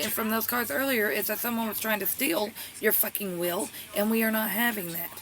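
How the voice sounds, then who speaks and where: The speech goes at a very fast pace over noticeable background noise. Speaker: tarot reader. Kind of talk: tarot reading. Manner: stuttering.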